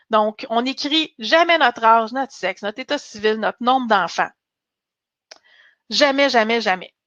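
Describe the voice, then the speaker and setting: A woman speaks at a fairly slow pace with long, frequent pauses. Her fairly high voice has ordinary pitch variation and a dry, close sound with no echo. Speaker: career coach and recruiter. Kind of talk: webinar presentation. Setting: online webinar.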